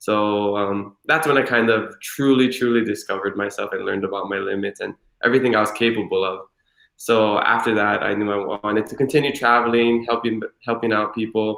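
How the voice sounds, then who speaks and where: Here a man speaks at a medium pitch. His pace is fairly quick and his intonation fairly even. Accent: Hawaiian. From Hawaii, Hilo. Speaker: former Peace Corps volunteer. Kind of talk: interview. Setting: livestream.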